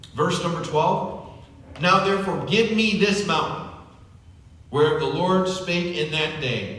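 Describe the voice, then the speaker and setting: A man with a high pitch speaks at a fairly slow pace, with lively intonation. Audible room echo and noticeable background noise can be heard. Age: 50s. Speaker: pastor. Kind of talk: sermon. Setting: church. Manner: conversational with fillers.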